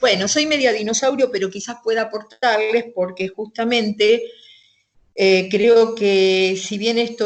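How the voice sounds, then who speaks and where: A woman is talking here. Her intonation is fairly level. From Argentina, western Greater Buenos Aires. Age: 60s. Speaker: interviewee recounting life in the 1970s. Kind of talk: interview. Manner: hesitant, many fillers.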